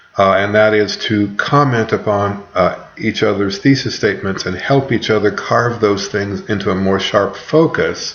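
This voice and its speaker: A medium-pitched man at a very slow pace with lively intonation, amid audible room echo and noticeable background noise. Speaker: college writing instructor. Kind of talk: recorded lecture to students. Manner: rambling, filler words.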